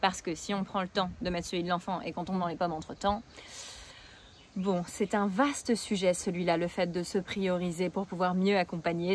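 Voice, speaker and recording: Her voice sits at a medium pitch. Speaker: parenting coach. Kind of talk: video tutorial. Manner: fast. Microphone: new camera.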